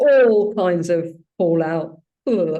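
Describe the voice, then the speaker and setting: The voice carries a British accent and a dark, mellow tone with ordinary pitch variation. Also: woman. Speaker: spiritual group leader, also ski instructor. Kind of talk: personal sharing in a spiritual gathering.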